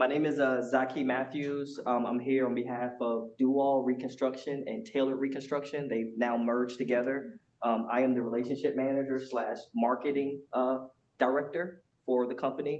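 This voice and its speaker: With an American accent and an unremarkable speaking voice, a man talks at a moderate pace and medium pitch, with fairly even intonation. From Georgia, US South. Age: 40s. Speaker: marketing director. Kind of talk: self-introduction. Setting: meeting room with audience.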